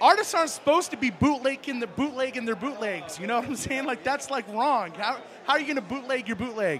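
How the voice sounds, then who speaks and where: Noticeable background noise sits behind a very fast, animated delivery. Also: man. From New Mexico. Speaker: live stream host. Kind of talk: casual interview.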